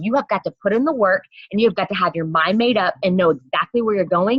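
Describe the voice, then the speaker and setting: A somewhat breathy woman of medium pitch speaks at a very fast pace in an animated tone. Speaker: direct sales team leader. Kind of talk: motivational team training call. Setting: video call.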